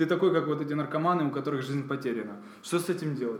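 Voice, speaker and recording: A man speaks at a very fast pace with audible room echo and noticeable background noise. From Ukraine, Kyiv. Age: 30s. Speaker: entrepreneur. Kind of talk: interview.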